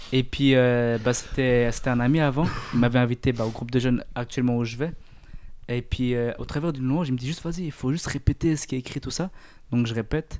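A man talks at a fairly quick pace in an unremarkable speaking voice. His pitch is medium and his intonation fairly even. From Eritrea. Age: 20s. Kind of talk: casual faith discussion.

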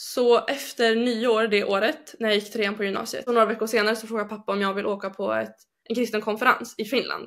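A woman talks with hardly any pauses in a normal speaking voice. Her pitch is fairly high. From northern Sweden, Umeå. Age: 20s. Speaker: bible school student. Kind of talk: personal testimony. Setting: video call. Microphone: poorer sound over video link.

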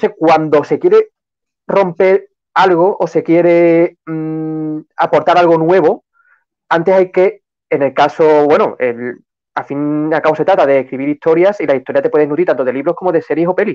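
A man talks at a moderate pace with ordinary pitch variation and a plain, everyday voice. The sound is dry and close, with no echo. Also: fairly high pitch for a man. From Seville, Andalusia. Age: 20s. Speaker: novelist. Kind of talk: live-stream interview.

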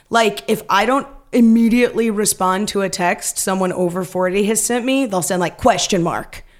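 At a moderate pace and with hardly any pauses, a woman talks in an ordinary speaking voice, her medium pitch showing ordinary variation. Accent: American. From Northern California (Stockton). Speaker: actress and improviser. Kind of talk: casual chat.

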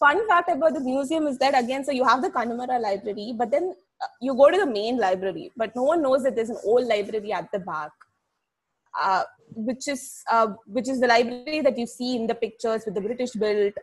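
A woman talks high-pitched at a fairly quick pace. Her intonation is lively. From India, Chennai. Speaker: heritage educator. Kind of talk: casual chat.

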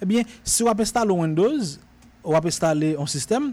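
With a Haitian accent, a man talks at a moderate pace in a dark, mellow tone with ordinary pitch variation. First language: Haitian Creole (speaking French). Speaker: radio tech show host. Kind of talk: radio show, casual tech talk and tutorial. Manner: animated, with frequent repetitions.

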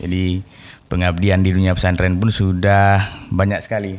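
Very deep and low, a man's voice stays monotone and flat in a very clean recording with a silent background. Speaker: podcast host. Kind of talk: casual interview. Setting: studio.

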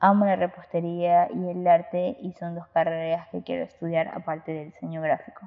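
In an ordinary speaking voice, a woman talks at a fairly slow pace with a fairly low pitch. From Ecuador, Guayaquil. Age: young. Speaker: student podcaster. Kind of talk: casual monologue.

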